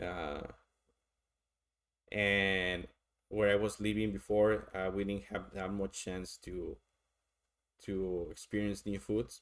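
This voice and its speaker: The speaker has a strong Mexican accent. The pace is fairly slow. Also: man. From Mexico. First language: Spanish. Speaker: streamer doing tarot readings. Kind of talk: casual live-stream chat. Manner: halting, many fillers and repeats.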